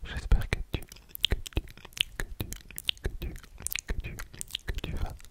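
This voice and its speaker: At a very slow pace, a voice whispers against noticeable background noise. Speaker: ASMR creator. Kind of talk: ASMR rambling talk to viewer. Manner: whispered, very slow.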